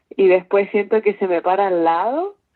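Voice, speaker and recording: A woman with an unremarkable speaking voice speaks at a fairly slow pace with fairly even intonation. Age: 20s. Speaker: university student. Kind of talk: casual chat.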